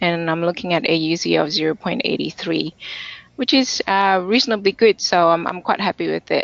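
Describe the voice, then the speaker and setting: At a moderate pace, a woman talks in a normal speaking voice, her fairly low pitch showing ordinary variation. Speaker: conference speaker presenting data science. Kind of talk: technical webinar presentation with demo. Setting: online webinar.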